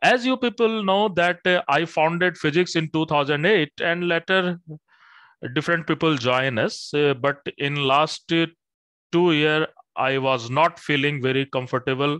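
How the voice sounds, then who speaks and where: The tone is bright and sharp, with ordinary pitch variation. The background is quiet and the sound is dry with no echo. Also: man. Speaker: coaching institute teacher. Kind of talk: announcement to students. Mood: calm, serious. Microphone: headset.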